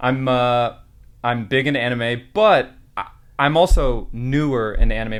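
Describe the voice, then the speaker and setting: In a plain, everyday voice, a man with an American accent talks at a medium pitch with ordinary pitch variation. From California. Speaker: anime reaction YouTuber. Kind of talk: casual podcast chat.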